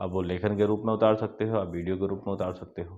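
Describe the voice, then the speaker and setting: A man keeps a monotone, flat intonation at a moderate pace. His pitch sits fairly low. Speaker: motivational YouTuber. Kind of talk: motivational talk. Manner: halting, many fillers.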